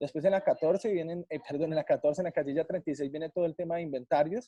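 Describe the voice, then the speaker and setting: Very fast and fairly high for a man, his voice has a dark, mellow tone in a dry, close sound with no echo. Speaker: tax training instructor. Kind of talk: online training session.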